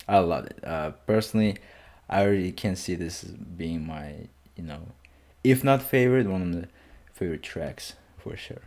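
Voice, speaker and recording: A man with a non-native accent speaks at a very deep, low pitch, his intonation lively. His loudness swings widely, and he leaves long, frequent pauses. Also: moderate pace. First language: not English. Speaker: music reaction youtuber. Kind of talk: casual album reaction.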